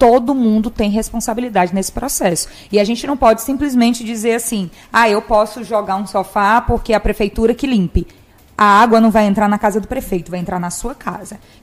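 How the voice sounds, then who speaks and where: This is a plain, everyday voice at a fairly quick pace. Its pitch varies in an ordinary way. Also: woman. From Imperatriz, Maranhão, Brazil. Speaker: journalist and live show host. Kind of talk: live interview show. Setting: studio.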